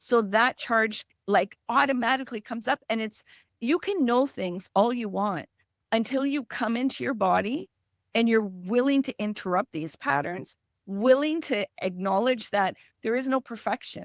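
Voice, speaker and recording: The speaker uses lively intonation in a French Canadian accent. The sound is dry and close with no echo, on a very clean recording with a silent background. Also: woman, fairly high pitch for a woman, moderate pace. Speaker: emotional healing specialist; parent. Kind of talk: podcast interview.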